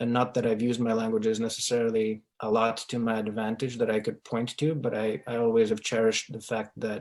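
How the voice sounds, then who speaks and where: A man speaks at a moderate pace with a Russian accent, his medium-pitched voice held to a flat monotone. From Ukraine and Sierra Leone. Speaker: real estate investor. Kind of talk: interview.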